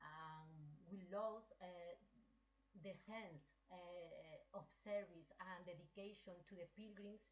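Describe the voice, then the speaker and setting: A woman speaks very slowly with a strong Spanish accent. Her pitch sits in the middle for a woman, and her intonation stays fairly even. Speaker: pilgrim association president. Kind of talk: online meeting contribution. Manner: halting.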